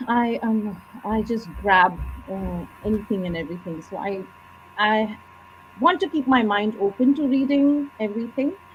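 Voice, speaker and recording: A woman with a Bengali accent speaks at a moderate pace. Her pitch is fairly high, and her intonation is lively. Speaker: author. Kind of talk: interview.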